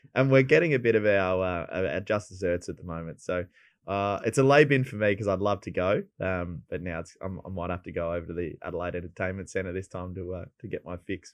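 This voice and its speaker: A man with a South Australian accent talks at a fairly quick pace in a very deep, low pitch with ordinary pitch variation. His loudness swings widely against a quiet background. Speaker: racing tipster panelist. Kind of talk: casual chat.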